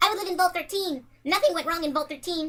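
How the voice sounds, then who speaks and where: This put-on character voice is squeaky and pitched extremely high. It races along at a very fast pace. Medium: solo performance.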